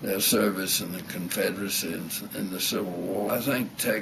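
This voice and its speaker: An American accent at a fairly slow pace in a flat monotone, with noticeable background noise and audible room echo. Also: man. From US South. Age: 80s+. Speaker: retired architect and war veteran. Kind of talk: reminiscence interview. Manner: halting.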